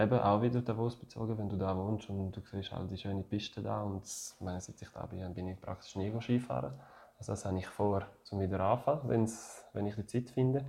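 A man's fairly low voice with a dark, mellow tone, ordinary pitch variation and a fairly quick pace. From French-speaking Switzerland, Neuchâtel. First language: French (speaking German). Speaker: retired ice hockey player. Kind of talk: interview. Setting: at home. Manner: halting.

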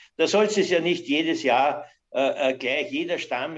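An unremarkable speaking voice from a man, fairly slow in pace with lively intonation, over a quiet background. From Austria, Weinviertel (Lower Austria). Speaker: master cooper and timber business owner. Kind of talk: interview.

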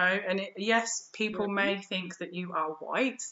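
Here a woman speaks with a British accent. Her intonation is fairly even. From England. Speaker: yoga teacher and spiritual educator. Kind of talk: interview. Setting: remote call.

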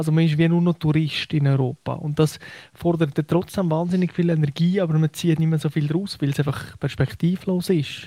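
A man speaks at a fairly high pitch with a dark, mellow tone and a moderate pace. His loudness stays very even and his intonation fairly even. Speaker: football journalist. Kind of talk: casual chat. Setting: radio studio, remote.

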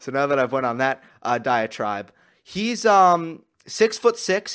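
This man has an American accent and a plain, everyday voice, pitched fairly high for a man. He talks at a moderate pace on a very clean recording with a silent background. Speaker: tennis podcaster. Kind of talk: solo podcast analysis. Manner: casual, with fillers.

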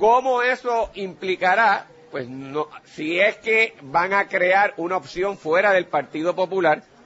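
A man speaks with a high pitch. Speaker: radio host and lawyer. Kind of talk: radio political analysis. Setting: remote broadcast at a pharmacy.

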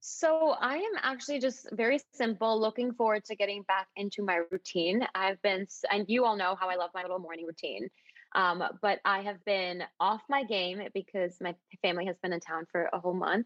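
A woman speaks with an American accent at a moderate pace, her pitch medium with ordinary variation. Hers is an unremarkable speaking voice. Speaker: podcast host. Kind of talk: casual chat.

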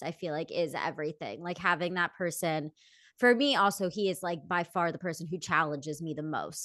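At a fairly quick pace, a woman speaks in a plain, everyday voice, fairly low in pitch with ordinary pitch variation. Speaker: podcast co-host. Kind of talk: casual chat.

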